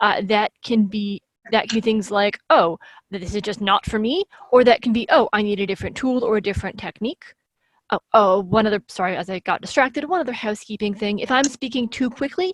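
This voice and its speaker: A woman's fairly high voice with ordinary pitch variation at a fairly quick pace, dry and close with no echo. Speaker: speaker on accessible crafting. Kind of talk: talk with slides. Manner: fast.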